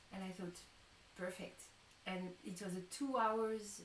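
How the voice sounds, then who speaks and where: Over noticeable background noise and some room echo, a woman talks with a non-native accent. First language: not English. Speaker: tarot reader and musician. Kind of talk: live-stream chat. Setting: live stream. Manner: halting.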